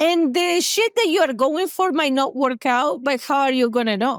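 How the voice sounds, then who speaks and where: In a dry, close recording with no echo, a woman with an Argentine accent speaks at a moderate pace in an animated tone. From Argentina, Buenos Aires. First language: Spanish. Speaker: therapist. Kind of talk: podcast interview. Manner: talkative.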